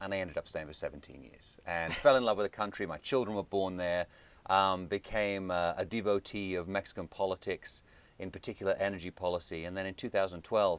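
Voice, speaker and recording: A man with a British accent speaks fairly quickly in a fairly low pitch, his intonation fairly even. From United Kingdom. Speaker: think tank director. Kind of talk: interview. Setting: studio.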